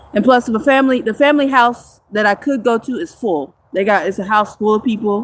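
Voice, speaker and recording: This woman has an unremarkable speaking voice, fairly high in pitch. She uses lively intonation and hardly any pauses. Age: 30s. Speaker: homeless livestreamer. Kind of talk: livestream chat with viewers. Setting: outdoors in the woods.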